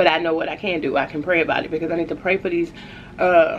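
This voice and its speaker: Light background noise is present. The woman's delivery comes at a fairly quick pace. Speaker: food vlogger. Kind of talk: casual vlog chat. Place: home room. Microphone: phone near.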